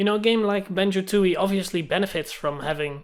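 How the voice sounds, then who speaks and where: Someone with a Dutch accent talks over noticeable background noise. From Netherlands. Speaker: gaming YouTuber. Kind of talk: casual monologue vlog. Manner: animated.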